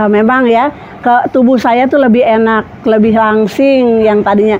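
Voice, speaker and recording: Noticeable background noise accompanies a woman talking at a moderate pace with ordinary pitch variation. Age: 60s. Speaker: customer giving product testimonial. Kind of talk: testimonial.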